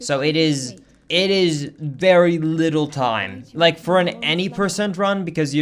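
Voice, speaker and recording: A man is speaking. He has a slight Swedish accent. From Sweden. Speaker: video game streamer. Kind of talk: casual chat.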